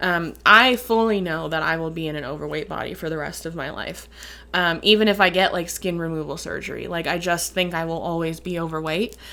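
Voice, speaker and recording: A woman's fairly low, bright, sharp voice at a fairly quick pace, with ordinary pitch variation. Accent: Midwestern. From Upper Peninsula of Michigan. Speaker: vlogger. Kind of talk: casual Q and A vlog.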